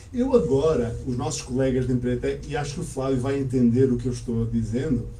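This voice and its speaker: A man talking at a fairly quick pace, with noticeable background noise and audible room echo. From Portugal (Azores heritage), born in Canada. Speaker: language school owner, teacher. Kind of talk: interview. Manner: calm, measured.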